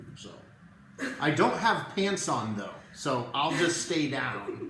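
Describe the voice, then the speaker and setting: A man's very slow speech, with audible room echo and noticeable background noise. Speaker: network marketing presenter. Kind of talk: live video sales presentation. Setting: live stream from home. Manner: quiet, holding back volume.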